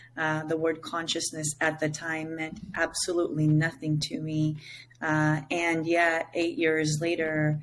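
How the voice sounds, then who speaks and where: A woman speaks with an Israeli accent at a very deep, low pitch. Her delivery is fairly slow, with monotone, flat intonation. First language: Hebrew. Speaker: psychedelic integration coach. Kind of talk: interview. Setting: remote call.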